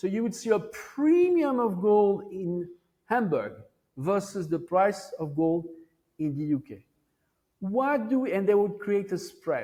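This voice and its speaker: A man with a French accent speaks at a fairly slow pace in a dark, mellow tone, high in pitch with lively intonation. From France. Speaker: Wall Street veteran, monetary historian. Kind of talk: interview answer.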